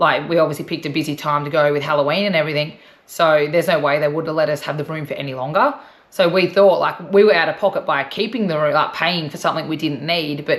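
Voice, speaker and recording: A woman with a very deep, low pitch talks at a very fast pace, keeping her intonation fairly even. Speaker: travel vlogger. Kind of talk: casual chat.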